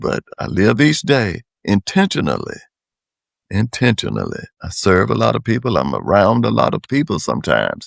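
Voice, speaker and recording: Here a man talks with a North Carolina accent. The sound is dry and close, with no echo. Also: moderate pace. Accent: US Southern (North Carolina). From North Carolina, Wake County. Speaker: public servant and community leader. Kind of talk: interview.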